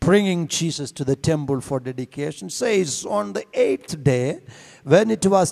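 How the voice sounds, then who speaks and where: The surroundings are quiet. A man talks. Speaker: church reader or preacher. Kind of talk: scripture reading. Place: church. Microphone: handheld.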